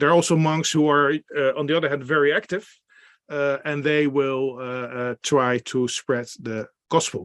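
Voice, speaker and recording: In a Dutch accent, a man talks with a fairly high pitch against a quiet background, the sound dry and close with no echo. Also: fairly even intonation, moderate pace. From Netherlands. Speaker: beer expert and workshop presenter. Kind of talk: online presentation. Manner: halting, many fillers.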